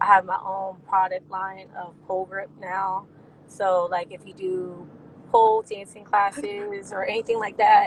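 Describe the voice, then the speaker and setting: Amid noticeable background noise, a woman with an American accent and a medium pitch speaks at a fairly slow pace, her intonation fairly even but her loudness swinging widely. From New Jersey and Pennsylvania. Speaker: reality TV cast member and dancer. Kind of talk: interview.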